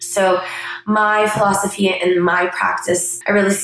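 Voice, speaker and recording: A woman is speaking. Audible room echo and noticeable background noise come through. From Canada. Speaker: physician and podcast host. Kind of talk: monologue introduction.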